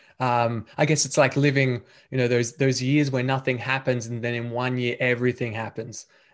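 A man speaks with an Australian accent. His intonation stays monotone and flat. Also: medium pitch for a man, moderate pace. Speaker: podcast host. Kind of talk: interview conversation.

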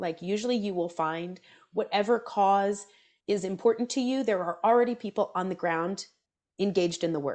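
With an American accent, a woman has a normal speaking voice, lively intonation, and a moderate pace. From US South, Atlanta. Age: 30s. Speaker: seminarian and community organizer. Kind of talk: casual interview chat.

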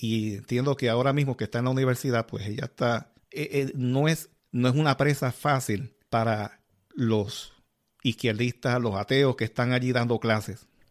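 A normal speaking voice from a man, medium in pitch, at a moderate pace with fairly even intonation and a dry, close sound with no echo. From Puerto Rico, Yabucoa. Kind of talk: casual religious interview.

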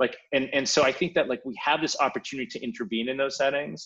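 A man with a Canadian accent, fairly high pitch and a very fast pace. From Sweden, moved to Canada at about 11. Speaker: public health physician. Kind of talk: interview.

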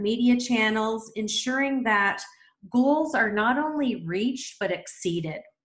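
With lively intonation and a fairly high pitch, a woman talks at a fairly slow pace in an unremarkable speaking voice. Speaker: podcast host. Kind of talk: interview.

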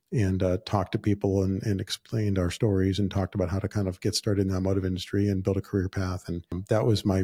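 Speaking very fast with an American accent, a man has a fairly low, somewhat breathy voice with a dark, mellow tone, recorded dry and close with no echo. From Southern California. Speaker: podcast host, entrepreneur. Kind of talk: solo podcast monologue. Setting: office. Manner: casual, with frequent fillers.

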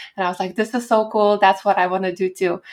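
A woman speaks with a Lithuanian accent. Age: 20s. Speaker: pianist and poet. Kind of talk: interview.

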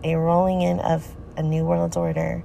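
A woman's fairly slow speech against noticeable background noise. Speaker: podcaster. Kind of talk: reading aloud social media posts with commentary. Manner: informal, addressing listeners directly.

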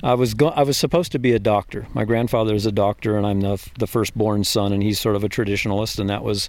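A man speaks fast with an American accent and a fairly low pitch. His tone is slightly mellow and his intonation fairly even.

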